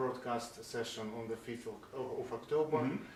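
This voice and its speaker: A man speaks with a Russian accent at a moderate pace. There is noticeable background noise. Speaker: science blogger and interviewer. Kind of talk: interview question.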